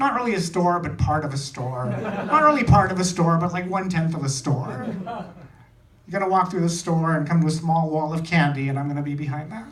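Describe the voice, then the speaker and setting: A man's high-pitched voice at a fairly quick pace, with audible room echo and noticeable background noise. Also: ordinary pitch variation. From India. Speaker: stand-up comedian. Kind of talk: stand-up. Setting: stage with audience.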